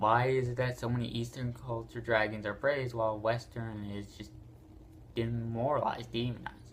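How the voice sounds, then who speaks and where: A man speaks at a moderate pace. His intonation is flat and monotone. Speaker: YouTuber presenting dragon lore. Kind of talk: casual video monologue. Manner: halting, repeats words.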